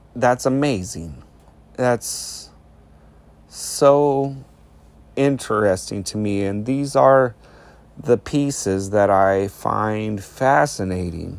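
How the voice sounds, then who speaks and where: At a very slow pace with long, frequent pauses, a man speaks at a fairly low pitch with ordinary pitch variation. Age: 40s. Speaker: solo podcaster. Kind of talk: reflective monologue.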